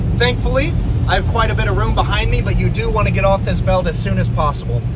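Delivered at a very fast pace, the voice sounds dry with no echo while loud background noise runs underneath. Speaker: presenter. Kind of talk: guided tour commentary. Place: car. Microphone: phone near.

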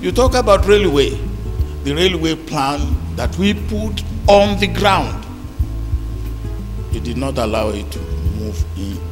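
A man at a very slow pace with long, frequent pauses, clear music playing behind him. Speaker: keynote lecturer. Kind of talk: public lecture speech. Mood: wry, critical. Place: hall. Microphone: handheld.

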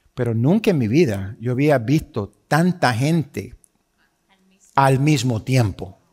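Against a quiet background, a man speaks at a very slow pace in a somewhat breathy voice. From Puerto Rico. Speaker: pastor. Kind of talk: sermon. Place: church.

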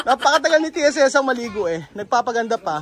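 Over light background noise, a man speaks in an extremely high pitch. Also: dry sound with no echo. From Philippines. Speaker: vlogger. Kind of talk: casual vlog narration. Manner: animated. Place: open country. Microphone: phone near.

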